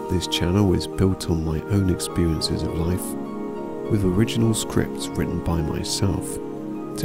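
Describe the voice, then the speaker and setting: A man at a fairly slow pace over loud music in the background. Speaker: meditation guide. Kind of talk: channel introduction. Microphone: studio mic.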